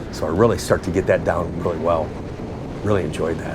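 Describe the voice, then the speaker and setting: Over noticeable background noise and audible room echo, a man speaks at a very deep, low pitch. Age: 60s. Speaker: car channel host and car dealer. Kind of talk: casual vlog sign-off; narrated track day video commentary. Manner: enthusiastic.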